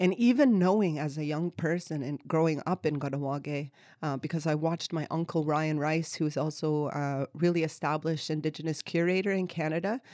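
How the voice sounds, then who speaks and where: Speaking at a fairly quick pace with hardly any pauses, a woman has a very deep, low pitch, a dark, mellow tone and ordinary pitch variation, in a very clean recording with a silent background. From Kahnawake, Quebec (Mohawk reserve). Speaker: PhD student and artist. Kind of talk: interview.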